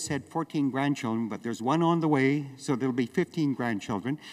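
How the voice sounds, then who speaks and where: A man talks with a Canadian prairie accent and lively intonation. The recording is very clean, the background silent. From Western Canada. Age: 70s. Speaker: farmer and activist. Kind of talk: speech. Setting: stage with audience.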